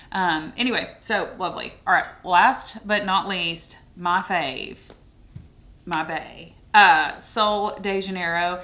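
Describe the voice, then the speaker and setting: Very slowly and with ordinary pitch variation, a woman speaks in a Southern US accent. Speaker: beauty and fragrance youtuber. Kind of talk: product review. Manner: casual, chatty with fillers.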